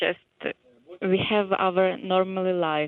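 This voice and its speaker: A woman with a Ukrainian accent, medium in pitch, with monotone, flat intonation. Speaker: hotel receptionist. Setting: phone call.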